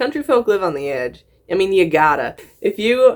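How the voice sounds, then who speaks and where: On a very clean recording with a silent background, a woman with a slight Southern US accent speaks at a fairly quick pace. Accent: slight picked-up Southern. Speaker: YouTuber reacting to videos. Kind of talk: reaction commentary. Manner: animated, halting with repeats.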